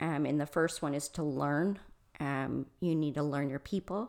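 A woman with an American accent speaks in a very deep, low voice with vocal fry. Her pace is fairly slow and her pitch variation is ordinary. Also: very clean recording, silent background. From Michigan. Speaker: restaurant consultant and coach. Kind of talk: interview conversation.

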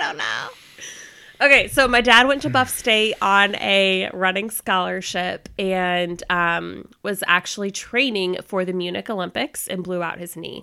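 Over a very clean recording with a silent background, a woman speaks fairly slowly in a bright, sharp tone, her loudness swinging widely. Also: medium pitch for a woman, ordinary pitch variation. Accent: American. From Florida. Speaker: host's wife. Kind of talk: casual chat.

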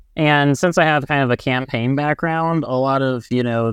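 A man with a plain, everyday voice and an American accent, a moderate pace and fairly even intonation, in a dry, close sound with no echo over a quiet background. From Indiana. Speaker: climate advocacy coordinator. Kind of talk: podcast interview.

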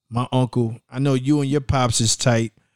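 Recorded very cleanly with a silent background and a dry, close sound with no echo, a man has a plain, everyday voice, a medium pitch and fairly even intonation. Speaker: podcast host. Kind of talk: casual podcast interview. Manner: casual, slangy, conversational.

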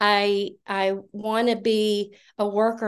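A woman speaks at a medium pitch in a flat monotone against a quiet background. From US South, Georgia. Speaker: nurse and cattle farmer, recovery speaker. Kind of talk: recovery meeting share. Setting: video call meeting.

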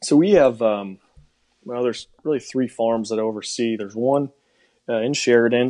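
With an American accent, the speaker has a dark, mellow tone, ordinary pitch variation and a moderate pace. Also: man, medium pitch for a man. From Wisconsin. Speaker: pig industry professional. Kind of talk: casual interview chat.

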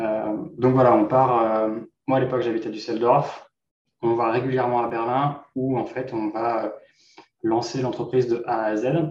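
At a fairly slow pace, a man speaks in a monotone, flat intonation at a medium pitch. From Normandy, France. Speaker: entrepreneur. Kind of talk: interview.

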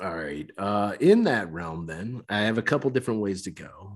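Captured in a very clean recording with a silent background, a man uses a normal speaking voice with lively intonation at a moderate pace. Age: 40s. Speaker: podcast host. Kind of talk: casual chat.

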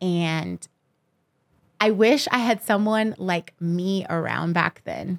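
The speech comes at a very slow pace with long, frequent pauses, in a Californian accent. The sound is dry and close, with no echo. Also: woman, medium pitch for a woman, ordinary pitch variation. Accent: Californian American English. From Los Angeles. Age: 30s. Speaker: professional dancer and choreographer. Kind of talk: casual interview.

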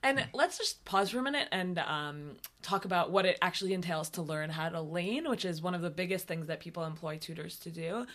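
The speech flows with hardly any pauses. Its pitch variation is ordinary. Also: woman, fairly low pitch for a woman, fairly quick pace. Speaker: synagogue clergy and podcast co-host. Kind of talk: casual podcast chat and interview. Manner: fast.

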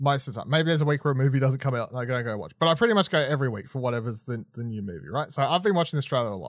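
Talking very fast, a man with an Australian accent has a fairly high pitch. The recording is very clean, with a silent background. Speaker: podcast host. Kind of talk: reading aloud; casual chat. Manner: halting.

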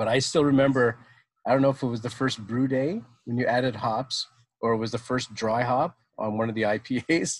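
On a very clean recording with a silent background, a man with a Canadian accent uses a normal speaking voice at medium pitch, fairly quick and with fairly even intonation. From Ottawa, Ontario, Canada. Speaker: brewery co-owner. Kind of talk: casual chat.

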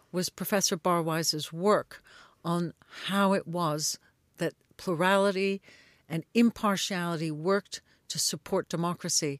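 A woman with an American accent has an unremarkable speaking voice at a fairly low pitch, recorded very clean with a silent background and a dry, close sound with no echo. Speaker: media analyst and company founder. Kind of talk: interview answers.

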